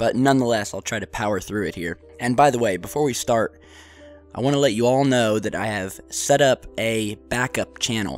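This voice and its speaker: Music runs in the background as a man speaks. His medium pitch shows ordinary pitch variation at a moderate pace. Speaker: UFO video host. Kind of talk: casual vlog commentary.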